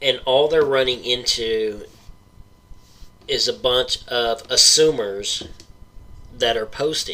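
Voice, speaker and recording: Through noticeable background noise, a man speaks at a very slow pace with long, frequent pauses. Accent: Oklahoma. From Oklahoma. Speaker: paranormal podcast host. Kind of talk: rant. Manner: animated.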